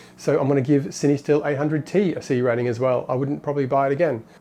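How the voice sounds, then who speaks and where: Dark, mellow tone in a man's fairly high voice. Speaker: film photography youtuber. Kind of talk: casual talk to camera.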